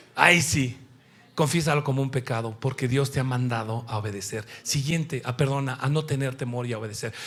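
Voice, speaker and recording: On a very clean recording with a silent background, a man with a Mexican accent talks at a fairly quick pace in an animated tone and a medium pitch. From Mexico. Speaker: preacher. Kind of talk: sermon.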